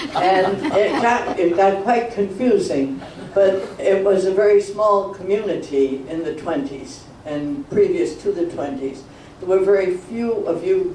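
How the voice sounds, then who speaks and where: A man speaks at a high pitch with ordinary variation. Audible room echo and noticeable background noise surround him. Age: 80s+. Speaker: elderly local resident sharing memories. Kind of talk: reminiscence talk to a community meeting. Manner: halting, rambling.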